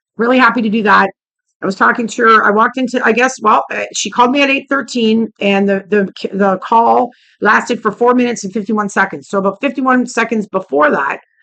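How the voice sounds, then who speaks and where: A woman speaks in a fairly high voice with a bright, sharp tone and a touch of vocal fry. Her intonation is lively and her tone animated. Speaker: vlogger. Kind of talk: casual vlog rant.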